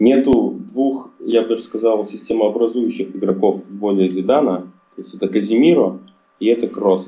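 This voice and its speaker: This is an ordinary speaking voice with ordinary pitch variation, delivered at a moderate pace. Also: man. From Russia, Chelyabinsk. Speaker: football fan. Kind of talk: casual chat.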